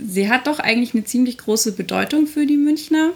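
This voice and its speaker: A woman talks with ordinary pitch variation. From Munich, Bavaria (north-west). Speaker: podcast co-host. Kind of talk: casual chat. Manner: animated.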